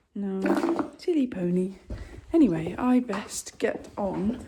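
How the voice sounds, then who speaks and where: The woman's pitch swings very widely, with noticeable background noise behind her. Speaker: equestrian vlogger. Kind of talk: casual vlog.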